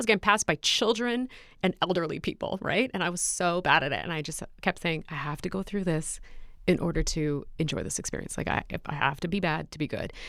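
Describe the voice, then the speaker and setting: A woman speaks very fast in a fairly low voice with vocal fry and ordinary pitch variation, on a very clean recording with a silent background. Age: 30s. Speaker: public speaking coach and sports broadcaster. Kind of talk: interview conversation. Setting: studio.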